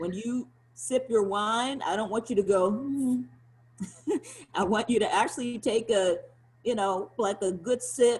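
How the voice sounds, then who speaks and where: Fairly high, somewhat breathy speech from a woman with a slight Southern US accent, fairly slow with long, frequent pauses and ordinary pitch variation. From US South. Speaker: sommelier. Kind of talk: guided wine tasting. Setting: video call. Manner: animated.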